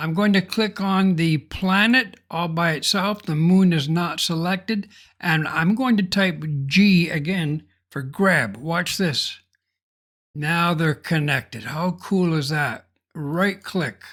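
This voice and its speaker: In a very clean recording with a silent background, a man with a high pitch speaks at a very slow pace, using ordinary pitch variation. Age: 70s. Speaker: software tutorial creator. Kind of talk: tutorial.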